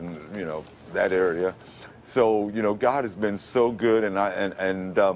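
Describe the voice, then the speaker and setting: The man's delivery moves at a moderate pace. His voice rises and falls with ordinary pitch variation. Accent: New York. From Brooklyn, New York. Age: 50s. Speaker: radio announcer. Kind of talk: TV interview answer.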